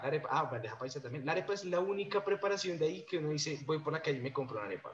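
At a very fast pace, a man talks with hardly any pauses. His pitch is fairly high. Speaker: podcast host, gastronomy graduate. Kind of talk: casual interview.

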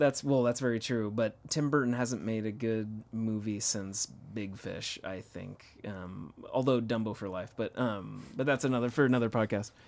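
A man talks in a plain, everyday voice at a moderate pace. His pitch is medium, with ordinary pitch variation. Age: 30s. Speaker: podcast co-host. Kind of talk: casual chat.

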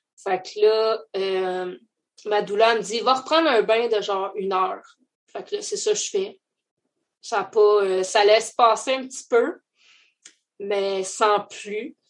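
With a Quebec accent, a woman speaks at a fairly high pitch and a very slow pace, with long, frequent pauses and big swings in loudness. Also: ordinary pitch variation. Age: 30s. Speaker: mother sharing her birth story. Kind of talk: testimony.

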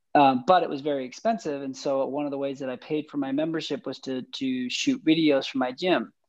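A man in a Western US accent, fairly high in pitch, fairly quick in pace, with ordinary pitch variation. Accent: American, Western US. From Utah, US. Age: 30s. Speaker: filmmaker. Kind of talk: casual interview.

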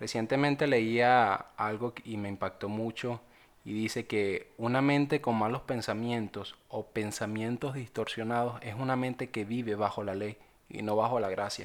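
An ordinary speaking voice from a man, medium in pitch, with fairly even intonation and a fairly slow pace. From Venezuela. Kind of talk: personal testimony and devotional reflection.

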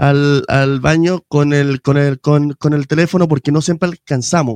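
The sound is dry and close, with no echo. A man speaks fairly slowly in a fairly high voice. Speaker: podcast host, musician. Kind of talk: casual chat. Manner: animated.

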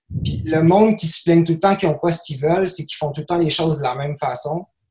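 High-pitched male speech with normal rise and fall in pitch. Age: 30s. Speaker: basketball dunk performer. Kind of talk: casual interview chat.

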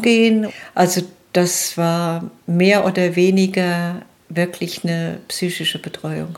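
Medium pitch and fairly even intonation in a woman's voice. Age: 60s. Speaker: nurse and lecturer. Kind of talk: personal testimony interview.

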